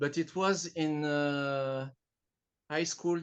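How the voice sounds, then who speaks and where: Speaking very slowly with a French accent, a man keeps a fairly high pitch and fairly even intonation. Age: 40s. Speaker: artist. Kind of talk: interview. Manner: halting. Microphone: smartphone recording.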